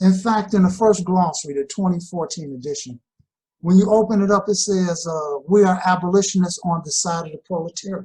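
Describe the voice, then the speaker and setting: This speaker has an American accent, talks at a moderate pace, and shows ordinary pitch variation. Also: man. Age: 60s. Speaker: political educator. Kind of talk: interview on political theory.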